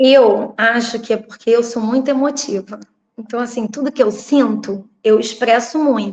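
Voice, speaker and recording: Using an unremarkable speaking voice, a woman talks at a fairly slow pace. Her pitch is fairly high. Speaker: local political candidate and teacher. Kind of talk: interview.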